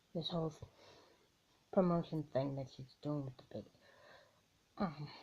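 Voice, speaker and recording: A woman speaks with a very deep, low pitch and ordinary pitch variation, her tone dark and mellow and somewhat breathy. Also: moderate pace. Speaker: vlogger. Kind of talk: opinion vlog. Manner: halting.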